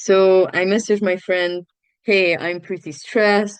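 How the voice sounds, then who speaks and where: Here a woman talks with a Romanian accent. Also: quiet background. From Romania, Tulcea. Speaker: student and NGO founder. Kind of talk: interview.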